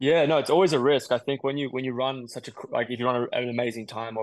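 A man speaks very fast. He has an Australian accent. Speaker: middle-distance runner. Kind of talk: interview.

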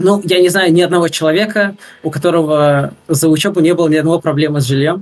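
Very fast, a man speaks in a high pitch. His intonation is fairly even and his loudness very even. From Russia. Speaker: game programming student. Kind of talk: interview. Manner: hesitant, many fillers.

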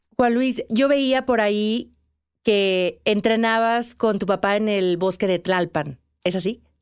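A woman speaks at a very slow pace with fairly high pitch. The recording is very clean, the background silent. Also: ordinary pitch variation, very even loudness. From Mexico. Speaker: podcast host, mountaineer. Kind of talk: interview.

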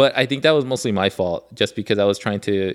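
Here is a man with a plain, everyday voice and an American accent. His pitch is fairly low, with ordinary variation. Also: very clean recording, silent background. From Los Angeles, Koreatown. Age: 30s. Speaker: board game creator. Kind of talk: casual chat.

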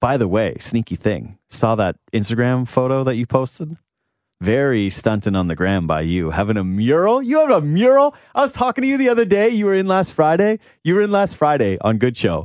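Animated in tone, a man talks at a fairly quick pace with very wide pitch swings. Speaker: podcast host. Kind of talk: casual sports chat. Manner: high energy, animated.

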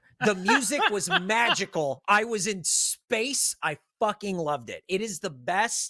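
Speaking with a raised, projected voice, a man with a high pitch and a bright, sharp tone sounds animated, his intonation lively, his pace fairly slow and his pauses few. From San Diego, California. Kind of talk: casual chat.

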